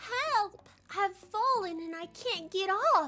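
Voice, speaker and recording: A woman's put-on character voice at an extremely high pitch, fairly slow in pace, with music in the background. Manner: frail, distressed, calling out.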